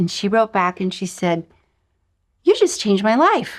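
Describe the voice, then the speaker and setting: Over a quiet background, a woman speaks at a fairly quick pace in an animated tone, her pitch swinging very widely. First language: not English. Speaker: intuitive guide and author. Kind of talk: online course lesson. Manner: animated storytelling.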